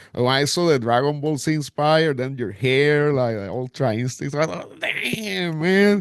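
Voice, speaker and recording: Noticeable background noise surrounds a man speaking at a moderate pace with hardly any pauses. His voice has a fairly high pitch and lively intonation. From Puerto Rico. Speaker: podcast host, interviewer. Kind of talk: interview. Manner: halting.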